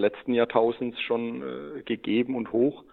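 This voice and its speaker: A man talks at a moderate pace. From Lower Franconia, Germany (Schweinfurt region). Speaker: SAP consultant, head of consulting. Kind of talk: interview. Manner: hesitant, many filler sounds.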